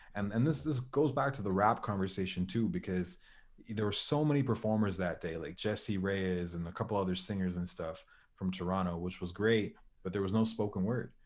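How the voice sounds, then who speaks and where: A plain, everyday voice from a man, fairly low in pitch, at a fairly quick pace with ordinary pitch variation. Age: 20s. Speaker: motivational speaker and spoken word poet. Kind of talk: casual chat.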